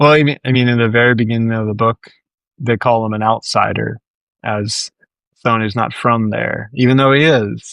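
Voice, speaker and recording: Fairly even in intonation, a man speaks with an American accent in a dry, close sound with no echo. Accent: northeastern US accent noticed by Southerners. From New Jersey, near New York City. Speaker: crime fiction author. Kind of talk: interview.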